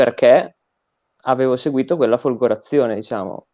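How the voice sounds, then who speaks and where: Lively intonation in a medium-pitched male voice. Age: 20s. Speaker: recent graduate, political education guest. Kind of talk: interview conversation. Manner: hesitant, with fillers and repetitions.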